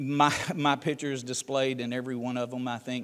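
Here a man speaks with a Southern US accent. His pace is moderate. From US South, Tennessee. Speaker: ministry leader and guest speaker; guest. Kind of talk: sermon. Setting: church. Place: church.

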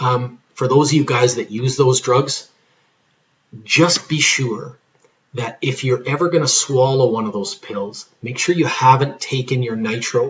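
Fairly slow in pace and somewhat breathy, this voice has ordinary pitch variation. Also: man. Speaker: pharmacist giving patient education. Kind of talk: tutorial. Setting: recorded video lesson. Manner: hesitant, many fillers.

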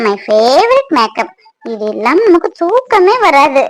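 A squeaky, put-on character voice moves at a moderate pace through very wide pitch swings. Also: woman, high pitch for a woman. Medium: cartoon. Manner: complaining, sharp-tongued.

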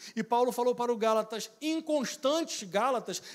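Over a quiet background, a man speaks at a fairly quick pace with lively intonation. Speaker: preacher. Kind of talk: sermon. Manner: didactic, earnest. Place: church. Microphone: handheld.

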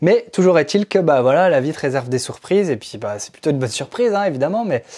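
With a quiet background, a man talks at a fairly quick pace with lively intonation. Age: 30s. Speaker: musician and music production teacher; music production teacher. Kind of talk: vlog monologue. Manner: halting. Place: studio. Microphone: lapel.

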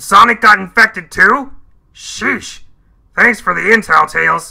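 A man's raised, projected, put-on character voice at a moderate pace. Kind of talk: video game character dialogue.

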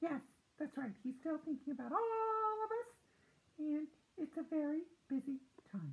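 A man puts on a cartoonish character voice, pitched extremely high. Long pauses come often between his words. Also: moderate pace. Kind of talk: children's show puppet voice. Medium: read story. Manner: excited, eager.

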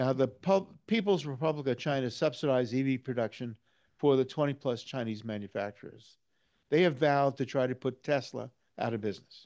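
A man with an American accent uses a normal speaking voice at a medium pitch, moving at a fairly quick pace with ordinary pitch variation. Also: quiet background. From New York. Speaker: retired EV enthusiast presenter. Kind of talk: lecture.

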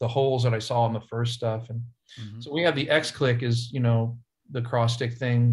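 Over a quiet background, a man speaks at a moderate pace and medium pitch. His somewhat breathy voice is monotone, with flat intonation. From Ohio, US Midwest. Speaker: session drummer; guest. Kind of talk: casual chat. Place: office. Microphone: video call.

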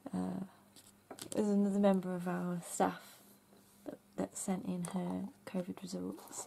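A woman with an English accent at a fairly slow pace, broken by long, frequent pauses. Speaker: craft YouTuber. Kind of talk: casual craft tutorial. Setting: home craft room.

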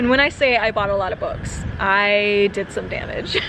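Noticeable background noise accompanies the woman as she speaks. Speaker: vlogger. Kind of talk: casual vlog chat. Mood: cheerful, laughing. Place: street. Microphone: phone near.

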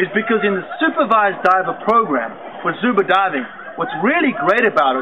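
A man speaks over noticeable background noise. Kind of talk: product introduction talk. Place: waterside.

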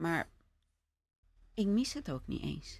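The woman's voice comes across as a dry sound with no echo. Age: 50s. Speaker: podcast host. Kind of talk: interview. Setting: studio with couch. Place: home room. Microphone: studio mic.

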